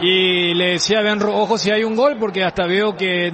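A man speaks at a moderate pace with fairly even intonation. Noticeable background noise runs behind him. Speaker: football commentator, analyst. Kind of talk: live football commentary and post-match analysis. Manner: measured, analytical, somber.

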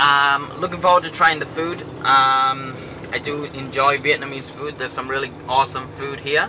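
Over noticeable background noise, a man speaks at a moderate pace with monotone, flat intonation. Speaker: travel vlogger. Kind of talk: casual vlog chat. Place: car. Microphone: phone near.

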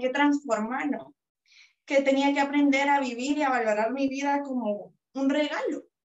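Over a quiet background, a woman speaks at a moderate pace in a high pitch with fairly even intonation. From Guatemala. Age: 20s. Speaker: psychologist and author; interviewee. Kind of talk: interview. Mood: reflective, heartfelt. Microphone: video call.

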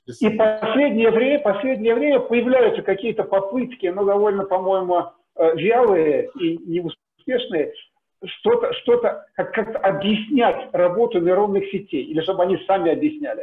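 This man's pitch is high, his pitch variation ordinary, and his pace moderate. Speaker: seminar audience member; audience member. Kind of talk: Q&A discussion. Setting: video call. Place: home room. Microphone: video call.

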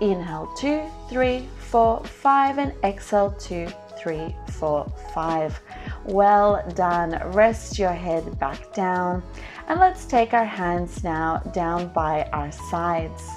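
A woman talks at a very slow pace. Clear music plays in the background. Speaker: pilates instructor. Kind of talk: tutorial.

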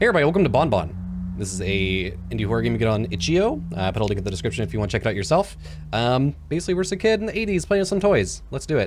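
The pace is very fast. Music plays in the background. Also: man. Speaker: gaming YouTuber. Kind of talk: casual gameplay commentary. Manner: animated, joking, chatty. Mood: playful, mock-scared.

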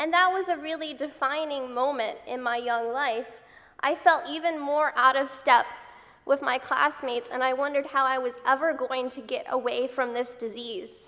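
A woman speaks in a raised, projected voice at a high pitch, with a bright, sharp tone. Her intonation is fairly even and her pace moderate. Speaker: patient advocate and university student. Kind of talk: conference speech. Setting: stage with audience. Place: hall. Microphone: podium.

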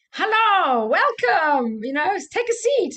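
Bellowing loudly in a put-on character voice with an Austrian accent, a woman speaks at an extremely high pitch and a fairly slow pace, her pitch swinging very widely. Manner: bellowing, friendly, loud.

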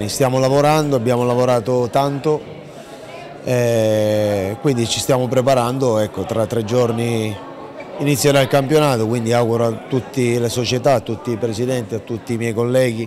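Background noise is clearly audible behind a man. He talks at an average speed, his pitch staying mostly level. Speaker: football coach. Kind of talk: interview answer. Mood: calm, measured. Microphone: handheld.

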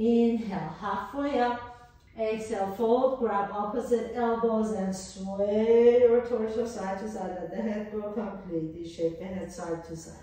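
A woman talks at a fairly slow pace in a fairly high pitch with ordinary pitch variation. Strong room echo fills the quiet background. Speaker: yoga instructor. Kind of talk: guided yoga class with meditation-style cues. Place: home room. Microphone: camera far.

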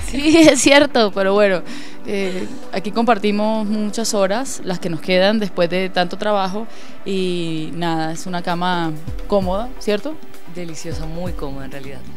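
A woman speaks at a fairly slow pace as music plays clearly in the background. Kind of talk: casual home tour commentary. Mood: relaxed, cheerful. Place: home room. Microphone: handheld.

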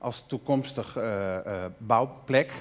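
A man speaks at a fairly slow pace with lively intonation. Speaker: artist; guest. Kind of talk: interview. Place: stage. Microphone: headset.

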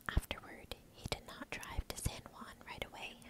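Whispering, a woman talks at a fairly slow pace. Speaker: ASMR storyteller. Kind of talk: whispered true crime narration. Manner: whispered, soft. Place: home room. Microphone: earbuds.

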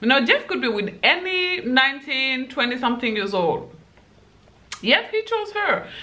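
A woman speaks very slowly at a high pitch, her voice swinging very widely up and down. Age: 20s. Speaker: YouTuber giving dating advice. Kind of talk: casual vlog monologue. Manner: animated, laughs often. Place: home room.

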